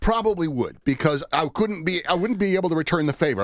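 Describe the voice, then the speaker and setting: A man talks in an ordinary speaking voice. His pitch is fairly high and his intonation lively. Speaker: radio news director. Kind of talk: casual chat.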